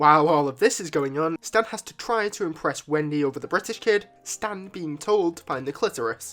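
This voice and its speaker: Music plays in the background while the speech moves at a fairly quick pace. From Britain. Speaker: YouTube reviewer. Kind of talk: video review.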